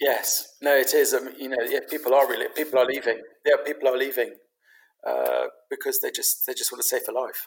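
The speaker goes at a fairly quick pace in a London accent. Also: man. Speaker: pet property business founder. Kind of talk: casual interview. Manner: halting, many fillers.

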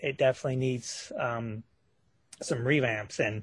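A man speaks at a medium pitch in a somewhat breathy voice with monotone, flat intonation. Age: 50s. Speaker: horror author. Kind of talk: interview. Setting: radio show. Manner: halting, many fillers.

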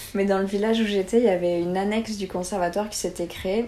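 Here a woman talks at a fairly quick pace with medium pitch. She has a normal speaking voice. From southern France, near Montpellier. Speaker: former performing artist, nutrition student. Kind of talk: casual interview.

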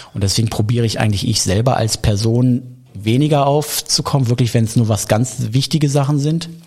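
A man talks at a fairly quick pace with very even loudness. Noticeable background noise sits behind him. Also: medium pitch for a man, ordinary pitch variation. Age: 40s. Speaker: craft beer bar owner. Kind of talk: interview.

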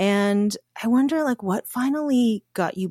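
In a very clean, dry, close recording with no echo and a silent background, a woman with a Canadian accent speaks at a fairly slow pace in an ordinary speaking voice. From Canada. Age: 40s. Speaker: podcast host. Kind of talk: casual chat.

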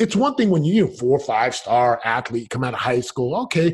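A somewhat breathy man at a fairly quick pace, with very wide pitch swings and a quiet background. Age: 40s. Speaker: retired NFL player turned real estate entrepreneur. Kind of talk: interview. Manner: animated.

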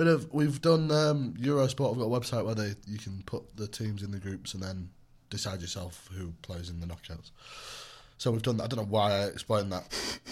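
Fairly quick and somewhat breathy, a man's fairly low voice moves with lively intonation. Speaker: podcast co-host. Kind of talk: casual chat; reading out a chart countdown.

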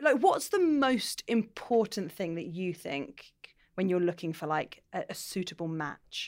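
The voice has a British accent and a moderate pace, with very wide pitch swings. The recording is very clean, with a silent background. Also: woman. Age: 30s. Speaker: comedian and podcast host. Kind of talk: casual chat. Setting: pub.

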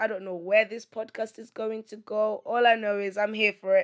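At a moderate pace, a woman speaks with a fairly high pitch in a monotone, flat intonation. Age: 30s. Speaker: podcast host. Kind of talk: solo monologue.

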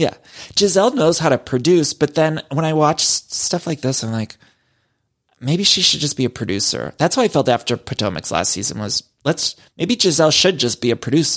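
Fairly high-pitched man's voice with vocal fry, lively intonation and a fairly quick pace, in a very clean recording with a silent background. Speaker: podcast host. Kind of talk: casual chat. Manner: fast.

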